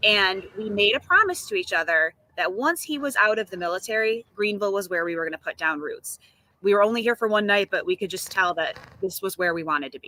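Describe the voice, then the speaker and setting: A woman's very fast speech in an American accent, medium in pitch, with lively intonation and big swings in loudness, in a dry, close sound with no echo. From upstate New York, Syracuse. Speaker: real estate agent. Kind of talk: interview. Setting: outdoors on video call.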